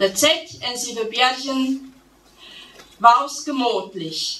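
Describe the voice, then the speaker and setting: Speaking at a very slow pace, a woman with a Transylvanian accent uses a high voice, and the room echo is audible. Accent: Transylvanian Saxon dialect. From Transylvania, Romania. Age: 40s. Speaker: poet, storyteller. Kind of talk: dialect poetry reading. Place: hall. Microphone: podium.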